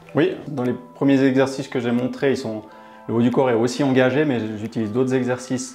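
A man talks at a moderate pace. There is faint music in the background. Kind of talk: interview answer. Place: gym. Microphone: lapel.

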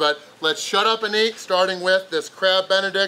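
A man speaks in a raised, projected voice. Light background noise is present. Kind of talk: casual vlog chat. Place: cafe.

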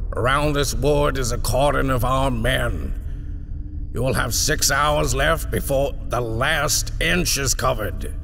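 With clear background noise, a man uses a put-on character voice at medium pitch and a fairly slow pace. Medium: read story. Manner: cold, measured, authoritative.

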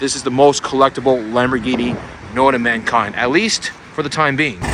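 A man at a moderate pace, dry sound with no echo, noticeable background noise. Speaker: car vlogger. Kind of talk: casual vlog commentary. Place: street. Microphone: phone near.

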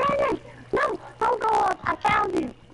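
A squeaky, put-on character voice shouts at an extremely high pitch. Light background noise can be heard. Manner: frantic, panicked shouting.

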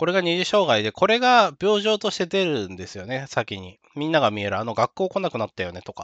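A man talks at a fairly quick pace and fairly high pitch, with very wide pitch swings. The sound is dry and close with no echo, over a quiet background. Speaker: YouTuber talking about neurodevelopmental disorders. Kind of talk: solo talk monologue. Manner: fast; casual, with filler words.

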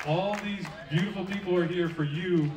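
Over light background noise and audible room echo, a man speaks at a moderate pace with ordinary pitch variation. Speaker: event host. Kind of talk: stage announcement and introduction. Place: stage.

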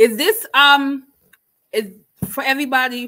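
A woman speaks in a bright, sharp tone. The background is quiet. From Jamaica. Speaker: booktuber hosting book discussion. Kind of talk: casual livestream book chat. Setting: livestream with live chat. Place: home room. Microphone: webcam.

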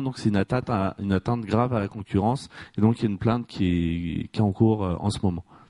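The sound is dry and close with no echo, over a quiet background. A man speaks with a dark, mellow tone at a fairly low pitch, with ordinary pitch variation. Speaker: audience member. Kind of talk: audience question. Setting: stage with audience.

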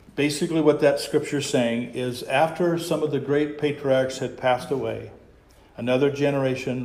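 A man's fairly even intonation in audible room echo. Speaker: pastor. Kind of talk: sermon. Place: church. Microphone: lapel.

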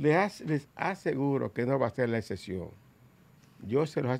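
At a fairly slow pace, a man speaks with vocal fry. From Dominican Republic. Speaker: politician. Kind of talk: talk show interview. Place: studio. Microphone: studio mic.

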